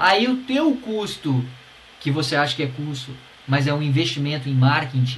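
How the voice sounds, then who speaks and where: Over noticeable background noise and audible room echo, a man with a fairly high pitch talks at a moderate pace. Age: 40s. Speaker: podcast host, musician. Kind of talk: solo podcast talk, advice. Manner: casual, animated.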